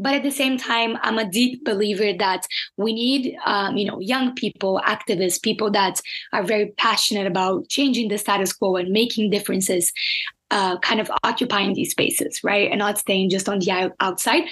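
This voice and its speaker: The speaker, with a Portuguese accent, keeps a very even loudness at a moderate pace over noticeable background noise. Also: woman, medium pitch for a woman, ordinary pitch variation. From Brazil. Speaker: climate advocate and NGO founder. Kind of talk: casual interview chat.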